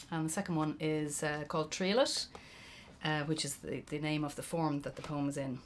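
Over light background noise, a woman with an Irish accent speaks at a very deep, low pitch with fairly even intonation. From Ireland. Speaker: poet. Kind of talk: poetry performance. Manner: slow, lyrical, deliberate reading.

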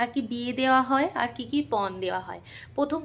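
A woman talks in a high-pitched voice. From West Bengal, Purulia district. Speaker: vlogger. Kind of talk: vlog narration.

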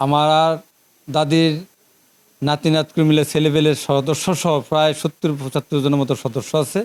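This very clean recording with a silent background has a dry, close sound with no echo, and the speaker's monotone, flat intonation comes at a very even loudness. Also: man, fairly high pitch for a man. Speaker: local council chairman. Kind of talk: interview.

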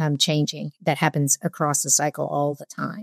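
A woman talks with a very deep, low pitch and a dark, mellow tone. The sound is dry with no echo, against a quiet background. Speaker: remote guest. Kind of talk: interview answer. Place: home room. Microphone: earbuds.

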